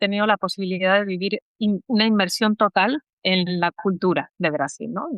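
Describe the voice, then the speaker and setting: At a moderate pace, the pitch varies in an ordinary way. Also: woman. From Spain, Salamanca (Castile). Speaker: language education adviser, Spanish teacher. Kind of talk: podcast interview. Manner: hesitant, many fillers.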